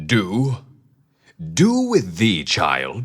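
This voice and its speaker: Putting on a character voice, a man speaks at medium pitch with very wide pitch swings. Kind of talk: archaic, formal. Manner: incredulous.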